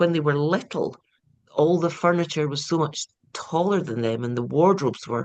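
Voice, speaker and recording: A woman speaks in a Scottish accent at a moderate pace. Her pitch is very deep and low. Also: ordinary pitch variation. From east coast Scotland, small town. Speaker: crime novelist. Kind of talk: interview. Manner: animated.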